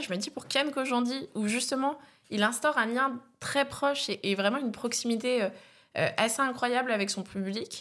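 A woman with a high pitch speaks at a moderate pace with ordinary pitch variation, in a very clean recording with a silent background. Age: 20s. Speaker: comedian. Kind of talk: casual chat.

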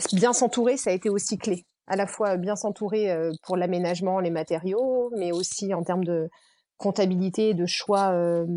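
Dark, mellow tone at a moderate pace with fairly even intonation and a quiet background. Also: woman, medium pitch for a woman. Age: 40s. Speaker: entrepreneur, founder of an event venue. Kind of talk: casual interview. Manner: hesitant, many fillers.

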